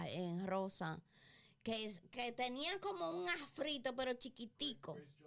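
Her tone is bright and sharp, and her fairly high pitch carries lively intonation. This woman speaks at a very slow pace. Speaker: podcast co-host. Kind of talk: casual chat.

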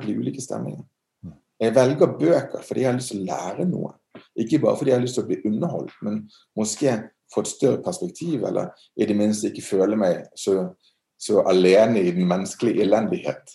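The man's tone is dark and mellow, his pitch medium. He talks at a fairly quick pace with lively intonation. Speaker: art museum director. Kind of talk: interview. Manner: halting.

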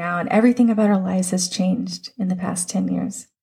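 An unremarkable speaking voice from a woman at medium pitch, moderate pace, on a very clean recording with a silent background. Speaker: podcast host. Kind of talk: fervent prayer, spoken aloud to God, raw and pleading; devotional podcast monologue. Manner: earnest, emotional, pleading, heartfelt.

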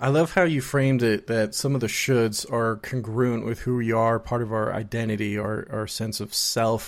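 With hardly any pauses, a man with an unremarkable speaking voice talks at a moderate pace with a medium pitch and fairly even intonation in a very clean recording with a silent background. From US, child of Colombian immigrants. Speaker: podcast host and therapist. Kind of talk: casual interview chat.

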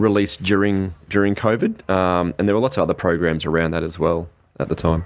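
A man with an Australian accent, very deep and low in pitch, at a fairly quick pace with ordinary pitch variation and a quiet background. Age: 40s. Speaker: youth mental health service manager. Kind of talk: interview. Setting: outdoors in a park. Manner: hesitant, many fillers and repeated words.

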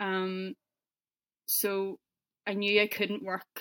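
In a Northern Irish accent, a woman speaks at a medium pitch in a dry, close sound with no echo. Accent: Northern Irish (Belfast). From Northern Ireland, Belfast. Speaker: car paint sprayer. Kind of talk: interview.

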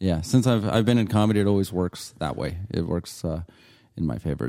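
Very deep and low in pitch, a man with an American accent speaks fairly quickly in a dark, mellow tone with ordinary pitch variation. The recording is very clean, the background silent. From Yuma, Arizona. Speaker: comedian. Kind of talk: casual interview. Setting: dining room.

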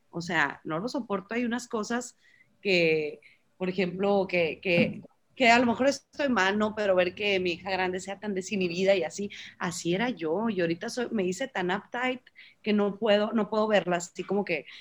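This woman talks at a moderate pace with ordinary pitch variation. Her voice rests at a medium pitch. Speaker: mother. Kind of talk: casual chat. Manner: loud.

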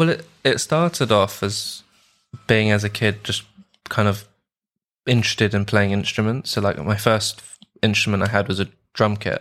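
Speaking with a London accent, a man with a fairly low pitch keeps a moderate pace and ordinary pitch variation, leaving long, frequent pauses. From London, England. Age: 20s. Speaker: musical composer and audio engineer. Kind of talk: casual chat. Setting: video call.

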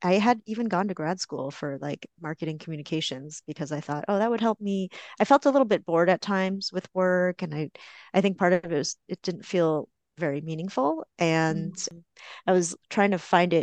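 A woman with a normal speaking voice talks at a moderate pace, her pitch fairly low and its variation ordinary. The sound is dry and close with no echo, against a quiet background. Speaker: therapist. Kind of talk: casual chat.

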